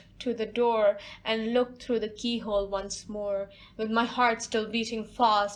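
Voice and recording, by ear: A natural voice reading aloud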